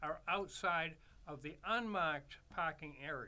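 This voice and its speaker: A man's bright, sharp tone with lively intonation. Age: 80s+. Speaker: street musician, trumpet player. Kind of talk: casual chat. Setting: studio. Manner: halting.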